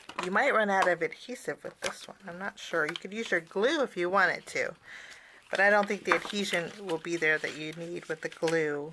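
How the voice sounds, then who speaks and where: A woman's medium-pitched voice at a moderate pace, with ordinary pitch variation, over noticeable background noise. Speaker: cardmaking instructor. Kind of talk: tutorial. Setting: on camera, online class.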